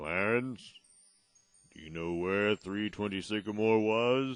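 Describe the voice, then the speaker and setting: In a put-on character voice, a man speaks fairly slowly at a fairly low pitch. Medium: audio drama. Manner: calm, explanatory.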